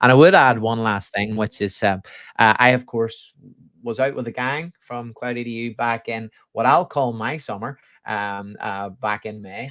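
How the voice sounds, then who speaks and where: Here is a man with a Belfast accent. His pitch varies in an ordinary way against a quiet background. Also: moderate pace, big swings in loudness. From Northern Ireland, Belfast. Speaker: education technology specialist. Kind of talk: interview. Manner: sing-song intonation. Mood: friendly, laughing at times. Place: home room.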